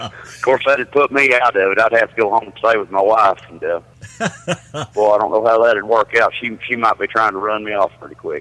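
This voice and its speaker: A man with a Southern US accent talks at a fairly quick pace and medium pitch, with fairly even intonation. His loudness swings widely, and the sound is dry and close with no echo. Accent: noticeable Southern. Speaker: truck driver. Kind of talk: casual chat.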